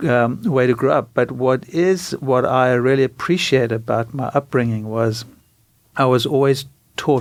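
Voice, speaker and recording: A medium-pitched man with a South African accent, fairly even intonation and a fairly slow pace. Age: 60s. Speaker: doctor. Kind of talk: interview.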